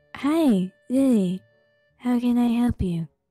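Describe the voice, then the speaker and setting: Over music in the background, a strained, high, female-sounding put-on character voice speaks at a fairly slow pace. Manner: strained, forced casual.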